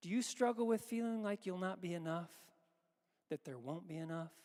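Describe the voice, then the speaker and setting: A man's high-pitched voice shows ordinary pitch variation as he talks at a moderate pace. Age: 60s. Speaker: pastor. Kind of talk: sermon. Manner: halting.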